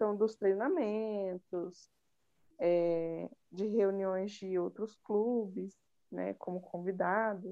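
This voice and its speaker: Very slow in pace, a woman talks at medium pitch with fairly even intonation. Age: 20s. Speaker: physiotherapy student, club secretary. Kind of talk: casual chat.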